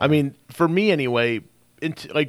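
A man with a fairly high voice and vocal fry is heard on a very clean recording with a silent background. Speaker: radio show host, real estate investor. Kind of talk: casual radio interview. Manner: casual, filler-heavy.

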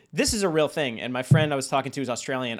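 This is a plain, everyday voice from a man at medium pitch, with ordinary pitch variation. The recording is very clean and the background silent. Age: 30s. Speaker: podcast host. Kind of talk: casual chat.

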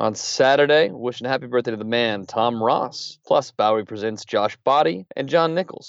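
With an ordinary speaking voice, a man at medium pitch keeps a moderate pace with hardly any pauses and ordinary pitch variation. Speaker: podcast co-host. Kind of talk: news discussion. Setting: studio.

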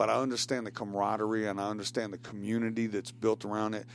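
A man with a Tennessee accent, fairly low-pitched, speaking very fast in a flat monotone. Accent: Southern US (Tennessee). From Tennessee (Shelbyville, Bedford County). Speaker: guest on talk show, writer. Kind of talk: casual chat. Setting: studio.

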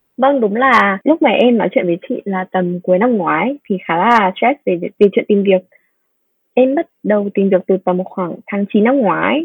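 With lively intonation, a woman speaks at a medium pitch in an unremarkable speaking voice. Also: fairly slow pace. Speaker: business analyst. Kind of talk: interview.

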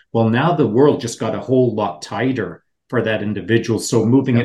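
Somewhat breathy and medium in pitch, a man talks with fairly even intonation. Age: 60s. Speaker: special operations veteran co-host. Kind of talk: interview, casual chat.

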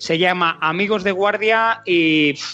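A man talks at a fairly slow pace with ordinary pitch variation. Background noise is noticeable. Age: 40s. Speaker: podcast host. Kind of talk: interview.

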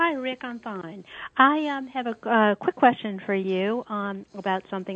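In a plain, everyday voice, a woman with an American accent speaks at a moderate pace with ordinary pitch variation. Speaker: caller. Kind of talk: casual chat. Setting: phone call.

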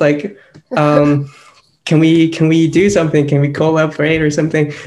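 Over music in the background, a man talks at a moderate pace in a fairly high pitch. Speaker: podcast co-host. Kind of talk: casual chat.

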